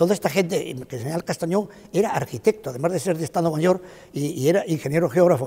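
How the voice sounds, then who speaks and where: The speech comes at a very fast pace, with a dark, mellow tone and ordinary pitch variation. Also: man, high pitch for a man. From Spain, Málaga. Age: 80s+. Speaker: retired cartographer, former director of a geographic institute. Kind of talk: interview testimony. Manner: halting, with frequent fillers.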